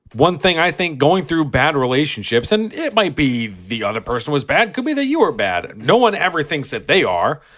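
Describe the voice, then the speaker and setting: A man with fairly high pitch, vocal fry and an animated tone, very wide pitch swings, a moderate pace, and a very clean recording with a silent background. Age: 20s. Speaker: podcast co-host; military veteran. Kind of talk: casual chat.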